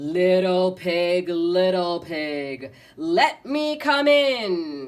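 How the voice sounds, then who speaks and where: A put-on character voice at a middle pitch, very slow in pace, with very wide pitch swings. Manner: growling, menacing.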